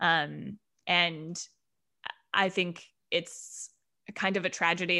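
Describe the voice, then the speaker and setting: A woman with an American accent speaks in a bright, sharp tone at a fairly low pitch, in a very clean recording with a silent background. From Denver, Colorado. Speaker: theater artistic director. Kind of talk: casual interview. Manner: loud.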